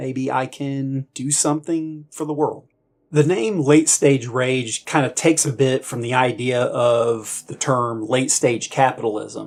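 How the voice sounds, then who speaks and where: At a fairly slow pace, a man talks in an unremarkable speaking voice at a medium pitch. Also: fairly even intonation. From United States. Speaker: combat veteran. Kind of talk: political commentary monologue.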